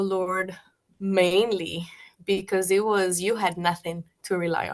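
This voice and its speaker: A woman speaks at a medium pitch with a Spanish accent. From Colombia, Bogota. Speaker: guest sharing faith testimony. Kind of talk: testimony. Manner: halting.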